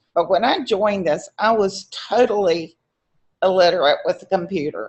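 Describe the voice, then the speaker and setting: A woman speaks at a medium pitch in a plain, everyday voice with lively intonation. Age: 60s. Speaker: member asking a question on a live Q&A. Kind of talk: casual Q&A remarks.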